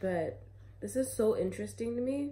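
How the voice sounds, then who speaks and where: Light noise sits behind a woman talking at a moderate pace. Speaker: tarot reader. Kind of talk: casual tarot reading chat. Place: home room. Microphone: phone near.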